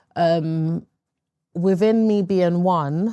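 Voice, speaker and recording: In a London accent, a woman speaks with a dark, mellow tone and fairly even intonation on a very clean recording with a silent background. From East London, England. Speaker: interview guest sharing life story. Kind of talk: interview testimony. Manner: hesitant, frequent fillers.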